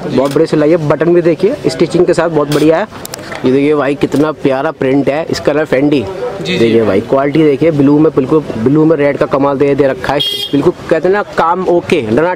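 A man talks at a moderate pace with very even loudness and ordinary pitch variation. The sound is dry with no echo, and there is noticeable background noise. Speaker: market vlogger. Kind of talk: casual vlog commentary. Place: shop. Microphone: phone near.

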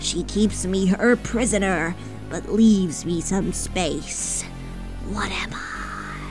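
Over loud music in the background, a female-sounding, gravelly, put-on character voice at a middle pitch speaks at a very slow pace. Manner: solemn, cryptic.

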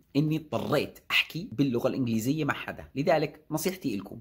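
Against a quiet background, a man with a fairly high pitch speaks at a fairly quick pace in an animated tone, somewhat breathy and with ordinary pitch variation. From Jordan. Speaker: YouTuber and software developer; YouTuber. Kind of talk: casual vlog talk. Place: office. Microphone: phone near.

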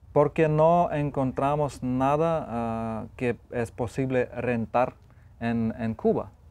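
A man with a Lithuanian accent speaks at a very slow pace. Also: ordinary pitch variation. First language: Lithuanian (speaking Spanish). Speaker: photographer and author; guest. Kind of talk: TV interview. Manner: halting, with frequent repetitions and fillers. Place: studio. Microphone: lapel.

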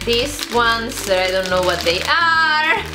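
The speaker uses a raised, projected voice. Clear music plays in the background. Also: woman. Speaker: vlogger. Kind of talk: casual vlog chat, food tasting. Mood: cheerful, upbeat. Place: home room. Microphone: phone near.

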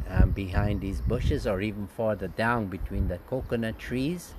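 A man's voice with ordinary pitch variation, a dry sound with no echo, and noticeable background noise. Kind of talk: casual guided tour commentary. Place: open country. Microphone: phone near.

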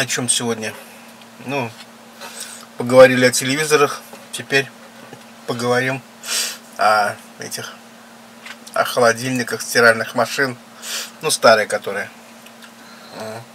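A man speaks at a fairly slow pace in a flat, monotone delivery, with long, frequent pauses. Light background noise can be heard. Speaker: mukbang vlogger. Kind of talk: casual vlog chat. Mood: relaxed, nostalgic. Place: home room. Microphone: camera far.

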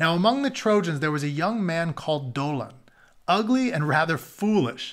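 A man speaks with a fairly bright tone and a fairly high pitch. His pitch swings widely.

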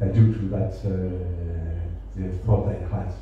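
There is strong room echo and light background noise. A man speaks with a French accent and fairly even intonation. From France. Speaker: ambassador. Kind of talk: speech. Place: hall.

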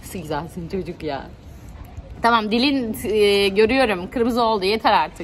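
A woman talks at a moderate pace with lively intonation and an animated tone. Light background noise can be heard. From Turkey. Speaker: travel vlogger. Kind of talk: casual vlog. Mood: warm, affectionate. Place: home room. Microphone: phone near.

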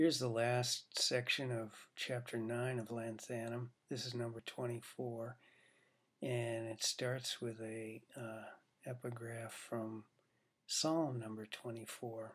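A man's medium-pitched voice at a very slow pace, in a monotone, flat intonation. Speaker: poet reading own work. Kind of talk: poem reading, read aloud from his own long poem. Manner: measured, deliberate, formal cadence. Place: home room. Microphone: webcam.

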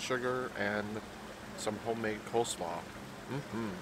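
Noticeable background noise sits behind a man's voice. The sound is dry, with no echo. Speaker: food vlogger. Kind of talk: casual vlog chat. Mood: cheerful, relaxed. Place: cafe.

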